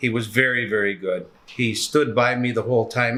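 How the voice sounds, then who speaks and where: In a Canadian accent, a man speaks with a bright, sharp tone and fairly even intonation. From Canada. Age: 60s. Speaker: patient. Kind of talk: testimony. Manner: halting.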